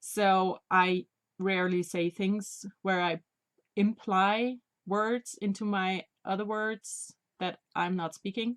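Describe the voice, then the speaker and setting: A woman with a non-native accent speaks at a very slow pace. Her pitch is medium and her intonation fairly even. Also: dry, close sound with no echo. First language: not English. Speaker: knitting podcaster. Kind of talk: casual video podcast monologue. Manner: halting.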